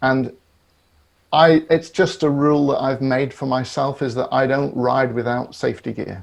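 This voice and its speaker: A man with a British accent speaks at a medium pitch and moderate pace, with fairly even intonation. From Great Britain. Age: 60s. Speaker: psychotherapist. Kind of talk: podcast interview. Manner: halting, with repetitions.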